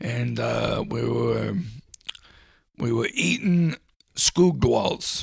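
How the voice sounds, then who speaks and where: A man does a put-on character voice that is raspy and very deep and low, going very slowly with long, frequent pauses. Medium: comedy sketch. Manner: rambling, hesitant.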